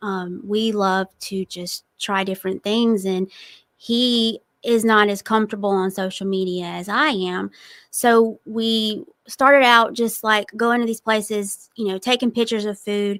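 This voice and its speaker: A woman's fairly high voice at a fairly slow pace, with fairly even intonation, in a very clean recording with a silent background and a dry, close sound with no echo. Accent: Southern. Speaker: TikTok food reviewer and entrepreneur. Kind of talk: casual interview.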